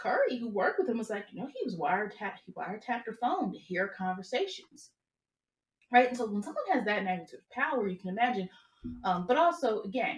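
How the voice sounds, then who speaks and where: With big swings in loudness, a woman speaks at a very fast pace in a fairly high pitch with lively intonation. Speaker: astrology reader. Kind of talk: commentary video. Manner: hesitant fillers.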